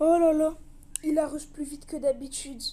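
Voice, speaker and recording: A put-on character voice runs at a fairly quick pace in a high pitch. Its intonation stays monotone and flat. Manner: exaggerated shock.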